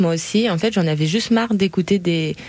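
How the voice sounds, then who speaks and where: A woman talks in a fairly low pitch with ordinary pitch variation. Hers is an unremarkable speaking voice. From Cergy, Paris region, France. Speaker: podcast host. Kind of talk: casual chat.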